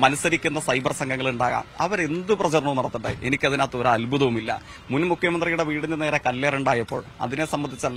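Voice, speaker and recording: A man's fairly high voice with fairly even intonation, over noticeable background noise. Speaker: election candidate, politician. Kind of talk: news interview. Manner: formal.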